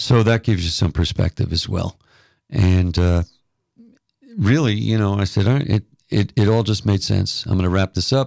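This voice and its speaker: With an American accent, a man speaks at a moderate pace in a fairly low pitch with ordinary pitch variation and long, frequent pauses, captured in a dry, close sound with no echo on a very clean recording against a silent background. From New York City area. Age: 60s. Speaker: retired radio DJ. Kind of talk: casual interview chat.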